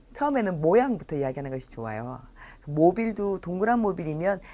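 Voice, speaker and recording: A woman at a moderate pace with very wide pitch swings on a very clean recording with a silent background. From South Korea, Busan. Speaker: early childhood educator / lecturer. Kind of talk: lecture. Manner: frequent filler pauses.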